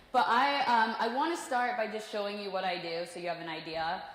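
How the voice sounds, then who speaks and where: A woman's lively intonation at a moderate pace, with audible room echo and noticeable background noise. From US Midwest, Kansas City. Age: 20s. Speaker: professional cliff diver. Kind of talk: motivational talk.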